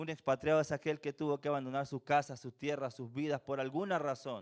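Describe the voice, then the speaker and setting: The recording is very clean with a silent background and a dry, close sound with no echo, as a man speaks at a moderate pace. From Venezuela. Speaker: preacher. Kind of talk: sermon.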